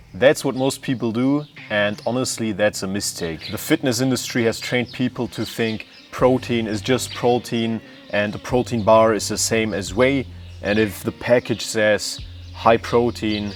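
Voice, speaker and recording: Music plays in the background as a man speaks at a moderate pace and medium pitch. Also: ordinary pitch variation. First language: not English. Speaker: fitness content creator. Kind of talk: educational explainer.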